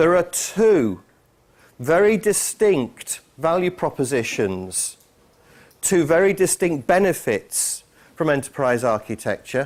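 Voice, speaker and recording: A man with a British accent, fairly high pitch, lively intonation, and a fairly slow pace. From England. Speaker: conference speaker, IT enterprise architect. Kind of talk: conference talk. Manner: hesitant, many fillers.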